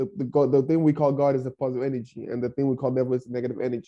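A fairly high male voice, dark and mellow in tone. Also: quiet background. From Nigeria. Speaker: podcast host and young entrepreneur. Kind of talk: interview conversation. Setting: online group meeting. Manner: halting, many fillers and repeated words; outgoing.

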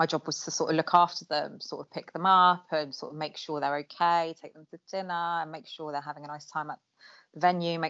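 With an Essex accent, a woman speaks at a fairly low pitch in monotone, flat intonation with big swings in loudness. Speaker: childhood friend. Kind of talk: casual chat.

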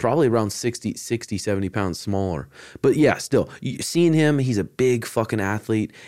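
A man with a plain, everyday voice speaks at a moderate pace and a medium pitch, his intonation lively, on a very clean recording with a silent background. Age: 30s. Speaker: jiu-jitsu instructor and podcast host. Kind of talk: casual chat.

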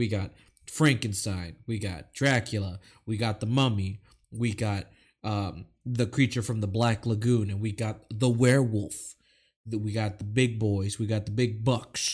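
At a fairly slow pace, a man speaks in a fairly low, somewhat breathy voice on a very clean recording with a silent background. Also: fairly even intonation. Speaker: podcast host. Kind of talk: casual chat. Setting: live stream.

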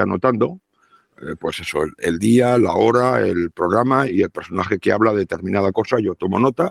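A man with an unremarkable speaking voice talks at a moderate pace, his fairly low pitch rising and falling in lively intonation, on a very clean recording with a silent background and a dry, close sound with no echo. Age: 60s. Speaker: radio broadcaster. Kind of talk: casual chat.

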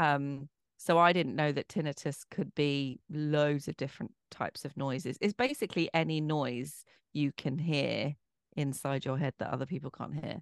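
A woman speaks in a very deep, low voice. Her pitch varies in an ordinary way, and the sound is dry and close with no echo. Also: moderate pace, quiet background. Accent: English. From Bromley, south-east London, England. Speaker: author, actress and broadcaster. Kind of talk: interview conversation.

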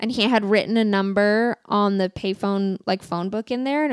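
Heard in a dry, close sound with no echo, the speaker talks with a Californian accent. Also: woman. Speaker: podcast co-host. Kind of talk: casual chat. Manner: filler-heavy, says like a lot.

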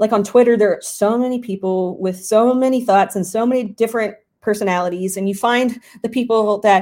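The recording is very clean, with a silent background. A woman speaks at a moderate pace in a dark, mellow tone. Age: 30s. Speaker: fantasy football writer and podcast host. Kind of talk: casual Q&A answering audience questions. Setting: live stream on Discord.

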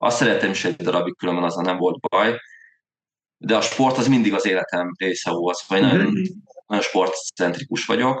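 Talking at a fairly quick pace, a man of medium pitch has a plain, everyday voice. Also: lively intonation. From Hungary, Veszprém. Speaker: amateur triathlete, podcast co-host. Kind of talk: casual chat.

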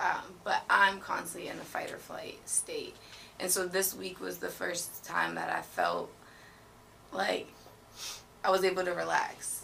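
An American accent at a fairly slow pace, with long, frequent pauses over noticeable background noise. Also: woman. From Boston. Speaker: podcast guest. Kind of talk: casual chat.

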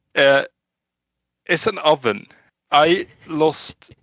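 A man with a Swedish accent speaks at a very slow pace. The sound is dry and close, with no echo. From Sweden. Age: 20s. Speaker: home guard soldier. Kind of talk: casual interview.

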